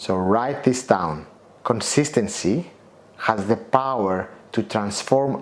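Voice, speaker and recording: The words come very slowly, spoken with a non-native accent. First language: not English. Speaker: motivational coach and author. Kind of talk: guided self-help lesson. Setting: outdoors at the Acropolis in Athens.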